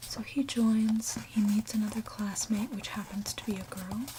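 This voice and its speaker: Soft-spoken and whispering, the voice comes through noticeable background noise. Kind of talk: ASMR manga review. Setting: recorded for ASMR with page-flipping and tapping sounds. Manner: softly spoken, whispered.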